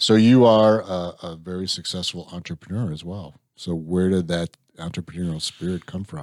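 A man with a Midwestern American accent and a very deep, low pitch, at a moderate pace, with fairly even intonation, big swings in loudness, and a very clean recording with a silent background. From Illinois. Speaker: podcast host. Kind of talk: casual interview.

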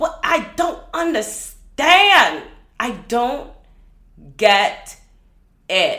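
The tone is bright and sharp, with very wide pitch swings. Audible room echo surrounds the voice. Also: woman. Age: 20s. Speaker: podcast host; filmmaker. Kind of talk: casual monologue.

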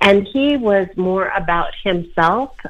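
This woman has a normal speaking voice pitched in the medium range. Her pitch varies in an ordinary way. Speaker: public relations consultant and whistleblower. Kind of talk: interview.

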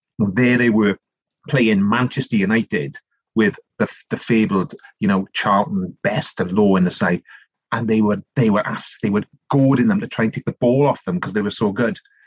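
Moderately paced speech from a fairly low-pitched man with a South Wales accent, ordinary pitch variation, dry, close sound with no echo. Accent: South Wales Valleys Welsh. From South Wales (Rhondda Valleys). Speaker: politician and author. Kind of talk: casual interview.

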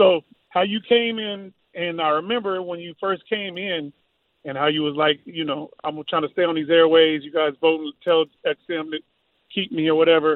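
A man's high-pitched voice with an American accent, at a moderate pace, with big swings in loudness. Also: ordinary pitch variation. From Georgia, US. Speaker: caller. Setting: phone call.

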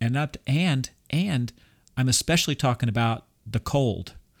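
A man at medium pitch, a normal speaking voice, with ordinary pitch variation and a moderate pace, in a dry, close sound with no echo on a very clean recording against a silent background. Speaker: podcast host. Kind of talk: casual chat.

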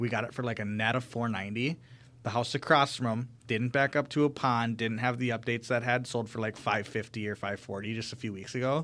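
With an American accent, a man has a plain, everyday voice at medium pitch, talking at a fairly quick pace with fairly even intonation on a very clean recording with a silent background. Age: 20s. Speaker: realtor. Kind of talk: casual chat.

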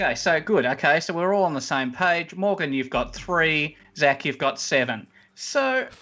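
Over a quiet background, a man with a fairly high pitch speaks with lively intonation and a bright, sharp tone. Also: moderate pace. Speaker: rotating podcast host. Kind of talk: casual game-show banter.

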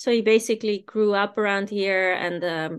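With a Dutch accent, a woman speaks at a fairly high pitch and a fairly slow pace. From Netherlands. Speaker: business owner. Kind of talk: interview.

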